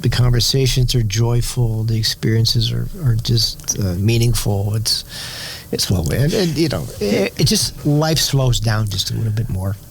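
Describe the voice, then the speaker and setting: A man with an American accent speaks at a moderate pace over noticeable background noise. His pitch sits in the medium range with ordinary pitch variation. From New York City. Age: 60s. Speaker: winery owner and Wall Street professional. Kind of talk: interview conversation.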